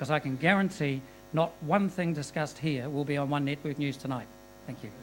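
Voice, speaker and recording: Over music in the background, a man with a New Zealand accent speaks at a fairly quick pace, his fairly high pitch showing ordinary variation. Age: 60s. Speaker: audience member. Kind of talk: audience question.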